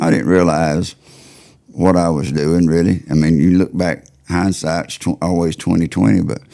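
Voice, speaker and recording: With a Southern US accent, a man speaks at a moderate pace in a very deep, low pitch, his tone dark and mellow and his intonation fairly even. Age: 60s. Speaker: turkey call maker. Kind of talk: casual interview chat.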